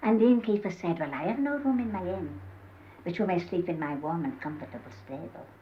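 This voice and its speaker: Audible room echo surrounds a woman with vocal fry and fairly low pitch who talks at a fairly quick pace, her pitch swinging very widely. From Yorkshire, Holmfirth area. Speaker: dialect humorist, storyteller. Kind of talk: humorous storytelling. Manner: chatty, conversational.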